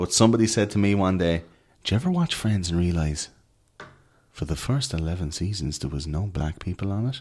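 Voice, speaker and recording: In an Irish accent, a man with a very deep, low pitch talks at a fairly quick pace with ordinary pitch variation, on a very clean recording with a silent background. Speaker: conspiracy podcaster. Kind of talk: casual chat. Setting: hotel room studio.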